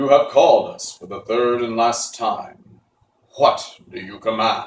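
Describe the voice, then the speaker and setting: Fairly slow put-on character voice from a man, with a slight echo. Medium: read story. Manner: formal, solemn.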